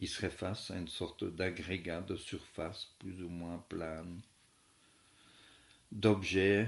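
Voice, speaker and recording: A soft-spoken man talks at a very slow pace with a very deep, low pitch. His intonation is monotone and flat. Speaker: philosophy teacher. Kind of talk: lecture. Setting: at home.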